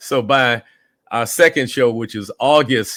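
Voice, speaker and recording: A man speaks in a normal speaking voice at a medium pitch, with ordinary pitch variation. The recording is very clean and dry, close-miked with no echo and a silent background. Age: 60s. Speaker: musician and urban farmer. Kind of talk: interview. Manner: relaxed conversational with fillers.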